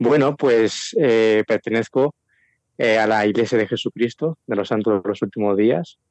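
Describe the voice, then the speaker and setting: A man with a plain, everyday voice, medium in pitch with ordinary pitch variation, at a fairly slow pace and very even loudness. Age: 20s. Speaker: prospective missionary. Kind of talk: interview. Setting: phone call.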